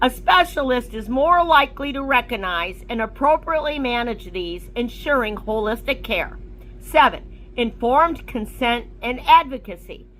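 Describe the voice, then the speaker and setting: A high-pitched woman speaks at a moderate pace with hardly any pauses, lively intonation and big swings in loudness over noticeable background noise. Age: 60s. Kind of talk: reading aloud. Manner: formal.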